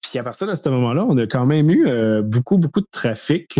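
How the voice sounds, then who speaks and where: A man with a Quebec accent speaks in a dark, mellow tone. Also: dry, close sound with no echo. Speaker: cybersecurity podcast co-host. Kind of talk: casual chat.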